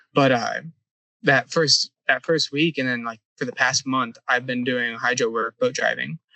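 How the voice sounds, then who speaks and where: A man with a normal speaking voice, medium pitch, and a moderate pace. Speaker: surveying intern, university student. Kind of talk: casual interview. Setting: on a survey boat.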